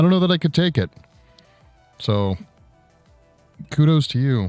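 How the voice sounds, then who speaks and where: Music plays in the background as a man speaks. His pace is fairly quick and his intonation lively. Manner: casual, conversational.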